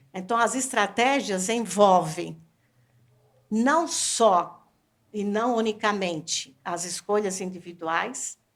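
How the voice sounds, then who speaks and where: Her words come very slowly. This woman's voice sits at a medium pitch and varies in an ordinary way. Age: 60s. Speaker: professor researching aging. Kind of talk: panel discussion.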